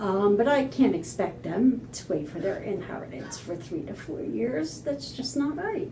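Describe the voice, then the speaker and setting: With noticeable background noise and audible room echo, a woman speaks at a fairly slow pace, her pitch swinging very widely. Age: 60s. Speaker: homeowner sharing her story. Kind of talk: interview.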